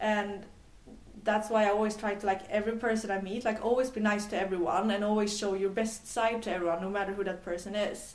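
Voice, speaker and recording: Over noticeable background noise, a woman talks very fast at a medium pitch in a flat, monotone delivery. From Sweden, island near Gothenburg (west coast). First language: Swedish. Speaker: tech entrepreneur. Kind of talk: interview. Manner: halting, many fillers.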